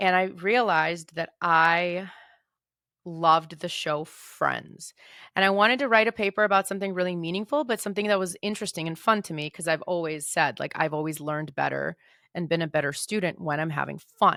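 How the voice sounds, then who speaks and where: A woman speaks at a fairly quick pace in a bright, sharp tone with ordinary pitch variation. The recording is very clean with a silent background, dry and close with no echo. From Moldova, raised in the US from age six. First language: Russian. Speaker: podcast host, writer and editor. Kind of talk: personal storytelling monologue. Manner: casual, with fillers and self-corrections.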